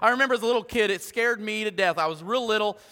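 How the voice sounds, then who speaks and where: A man's raised, projected voice, animated in tone and very fast. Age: 40s. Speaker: pastor. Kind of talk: sermon.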